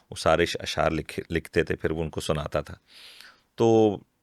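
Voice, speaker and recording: A man's voice comes through close and dry, echo-free, on a very clean recording with total silence behind it. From Pakistan, Mansehra roots, raised in Karachi. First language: Hindko (speaking Hindi). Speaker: voice actor and poet. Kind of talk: interview. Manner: clear.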